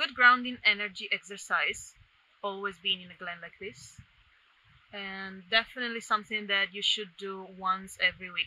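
A woman's bright, sharp tone at a moderate pace, fairly even in intonation, with a dry sound and no echo. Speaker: vlogger. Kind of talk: casual vlog chat. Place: forest. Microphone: phone near.

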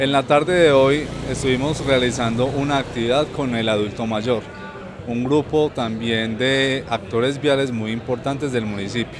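A man talks at a moderate pace with fairly even intonation. The sound is dry with no echo, though there is noticeable background noise. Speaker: community TV reporter. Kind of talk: news narration. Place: street. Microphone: handheld.

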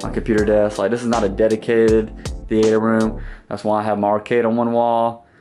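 Clear music plays in the background. A man speaks at a moderate pace with a fairly low pitch. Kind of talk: casual vlog tour. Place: home room. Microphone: phone near.

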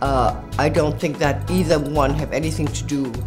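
Music is clearly heard behind a woman as she talks. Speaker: fashion model. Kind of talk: interview answer. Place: studio.

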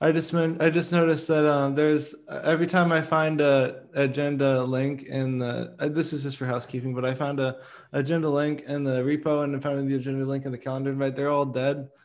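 Speaking fairly quickly with hardly any pauses, a man keeps a fairly high pitch in a monotone, flat intonation. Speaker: meeting facilitator, open-source working group. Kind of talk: work meeting discussion. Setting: video call. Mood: light, self-deprecating. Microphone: video call.

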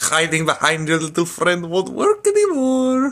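Using a put-on character voice, a man talks at a moderate pace and a high pitch. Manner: menacing, gruff.

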